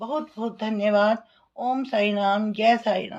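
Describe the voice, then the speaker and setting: A woman speaks in a normal speaking voice, fairly high in pitch, with fairly even intonation. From Delhi, India. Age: 60s. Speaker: retired teacher giving patient testimonial. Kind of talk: testimony.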